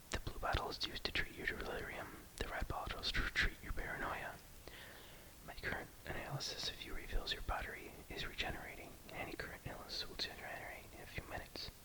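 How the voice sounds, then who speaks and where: Whispering, a man speaks at a very fast pace. Noticeable background noise can be heard. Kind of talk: short story reading. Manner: whispered.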